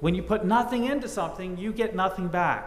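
There is audible room echo around this voice. A man talks at a moderate pace. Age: 50s. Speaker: pastor. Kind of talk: sermon. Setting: church. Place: church. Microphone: podium.

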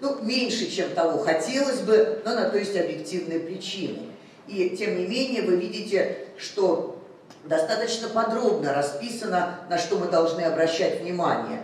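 Amid light background noise and audible room echo, a woman talks fairly slowly with ordinary pitch variation. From Russia. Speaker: cardiology professor. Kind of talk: medical conference lecture. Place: hall.

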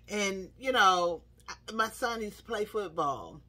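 At a moderate pace, a woman speaks. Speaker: speaker. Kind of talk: devotional talk, sermon-like vlog. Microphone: phone near.

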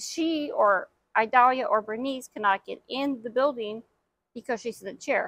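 A woman speaks in a high, bright, sharp voice at a fairly slow pace with ordinary pitch variation. The sound is dry with no echo, over a quiet background. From Houston, Texas. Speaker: interview guest. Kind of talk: interview. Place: waterside. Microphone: lapel.

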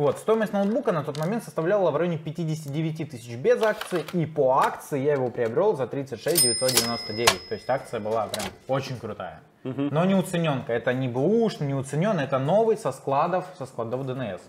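With light background noise behind him, a man speaks at a moderate pace and a fairly high pitch, his pitch swinging very widely. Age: young. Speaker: customer telling his story about a laptop return; guest. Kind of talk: casual interview. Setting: computer repair workshop. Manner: hesitant, with many fillers. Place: studio.

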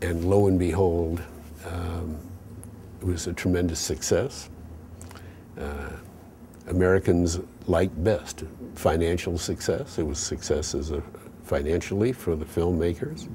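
The voice has a dark, mellow tone, somewhat breathy, with ordinary pitch variation, a fairly slow pace and long, frequent pauses. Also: man, very deep, low pitch for a man. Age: 70s. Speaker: artist and sculptor. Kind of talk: interview reflection. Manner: halting, frequent fillers.

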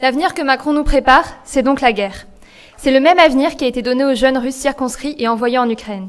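A woman talks at a very fast pace. Her pitch is high. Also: ordinary pitch variation. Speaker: student activist; speaker. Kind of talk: political rally speech. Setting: stage with audience. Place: hall. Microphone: podium.

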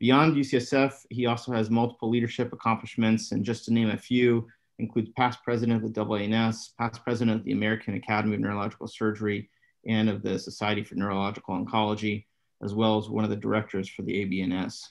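The speech comes at a very fast pace. Intonation stays fairly even, and the background is quiet. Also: man. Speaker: neurosurgeon. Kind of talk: webinar moderation. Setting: video call. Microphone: webcam.

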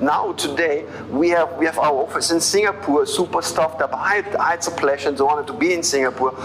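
A man speaks at a fairly high pitch and a moderate pace. There is light background noise. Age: 50s. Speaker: network marketing leader. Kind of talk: interview testimony. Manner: halting. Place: office. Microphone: lapel.

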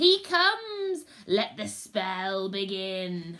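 A woman does a shrill, put-on character voice at a medium pitch, speaking very slowly. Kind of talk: storytelling read-aloud. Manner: prophetic, ominous.

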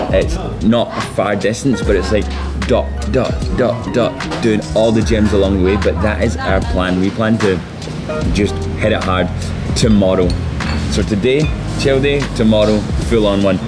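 The speaker goes at a moderate pace with long, frequent pauses. Music plays clearly in the background. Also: man. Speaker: travel vlogger. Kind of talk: casual vlog chat. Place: cafe. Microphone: camera far.

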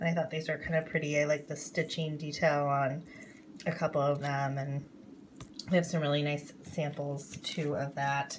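A woman's very deep, low, somewhat breathy voice over light background noise. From North Dakota. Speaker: craft YouTuber. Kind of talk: haul video. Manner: hesitant, many fillers. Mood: relaxed, mildly enthusiastic. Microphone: phone near.

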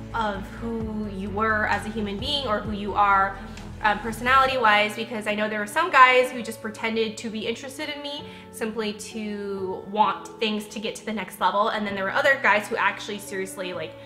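A woman talks at a fairly quick pace, her loudness swinging widely and her pitch varying in an ordinary way. Clear music plays in the background. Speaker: lifestyle vlogger. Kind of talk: casual vlog chat. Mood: reflective, personal story.

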